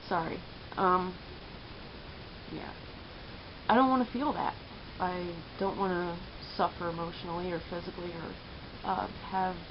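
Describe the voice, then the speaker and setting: In a room with audible echo and noticeable background noise, a woman at medium pitch talks at a moderate pace with ordinary pitch variation and long, frequent pauses. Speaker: vlogger and entrepreneur. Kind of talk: casual vlog monologue. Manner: hesitant, many filler words; stutters when upset.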